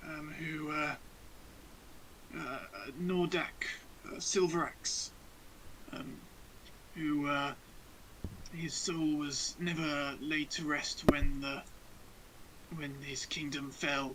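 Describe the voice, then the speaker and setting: A man does a raspy, put-on character voice with a fairly high pitch and monotone, flat intonation. He speaks very slowly with long, frequent pauses over clear background noise. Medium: actual play. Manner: stammering, hesitant.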